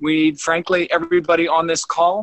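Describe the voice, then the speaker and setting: Recorded dry with no echo and a quiet background, a man speaks fairly quickly in a fairly high pitch. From US. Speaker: leadership trainer and former naval officer, Olympic rower. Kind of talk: casual chat. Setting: video call. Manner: animated. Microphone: video call.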